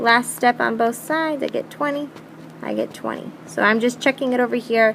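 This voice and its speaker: Background noise can be clearly heard. Over it, a woman talks at a moderate pace. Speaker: math teacher. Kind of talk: tutorial.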